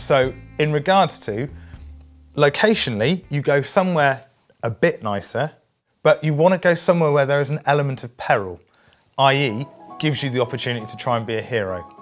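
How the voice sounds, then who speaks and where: Over music in the background, a man with a British accent speaks at a medium pitch and a fairly quick pace. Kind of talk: mock-documentary interview answer.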